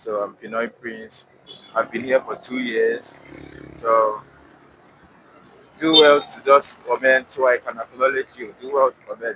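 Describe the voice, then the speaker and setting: Over noticeable background noise, a man at medium pitch talks at a fairly slow pace with fairly even intonation, big swings in loudness and long, frequent pauses. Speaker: student vlogger livestreaming. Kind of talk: casual live-stream chat. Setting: in a vehicle on the road.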